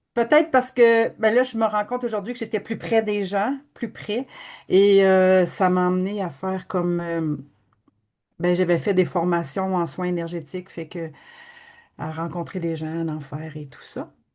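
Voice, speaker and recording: A woman talks at a fairly slow pace with lively intonation and big swings in loudness. The background is quiet. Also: medium pitch for a woman. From Quebec, Abitibi-Témiscamingue. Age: 60s. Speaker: energy healing practitioner. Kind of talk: testimony.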